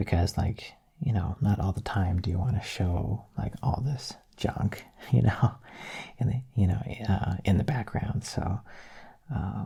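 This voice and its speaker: Soft-spoken and fairly low-pitched, a man talks at a fairly slow pace with a dark, mellow tone, vocal fry, lively intonation and long, frequent pauses. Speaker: ASMR artist. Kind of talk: soft-spoken channel update talk.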